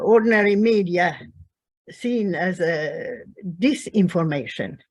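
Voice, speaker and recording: A woman speaks very slowly in a Swedish accent. Her intonation is lively. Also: medium pitch for a woman. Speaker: peace activist. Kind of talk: online panel discussion. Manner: halting.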